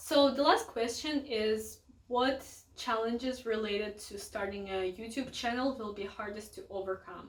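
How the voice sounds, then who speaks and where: A woman talks fairly slowly at a medium pitch, showing ordinary pitch variation. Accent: Russian. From Russia. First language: Russian. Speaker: book youtuber. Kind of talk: casual vlog talk to camera. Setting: home, filming with family in the house.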